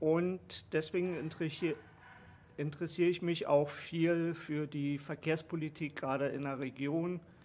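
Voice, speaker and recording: At a fairly slow pace, a man speaks in a monotone, flat delivery at a fairly high pitch. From Berlin, later long in Swabia. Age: 50s. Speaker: new party member, transport worker. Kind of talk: casual interview.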